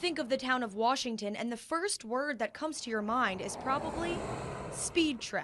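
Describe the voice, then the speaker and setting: A woman's high-pitched voice moves with lively intonation while noticeable noise sits behind her. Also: moderate pace. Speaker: TV news reporter. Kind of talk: TV news reporting, on-location report.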